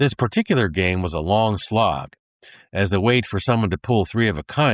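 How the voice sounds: A natural reading voice moves through ordinary shifts in pitch while the background stays quiet.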